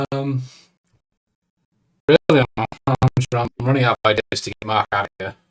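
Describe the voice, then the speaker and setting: Doing a put-on character voice, a man speaks at medium pitch and a moderate pace, his intonation fairly even, his loudness swinging widely, with long, frequent pauses. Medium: actual play. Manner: nervous, earnest.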